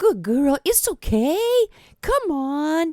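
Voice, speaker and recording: High-pitched put-on character voice with very wide pitch swings. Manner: soothing, coaxing.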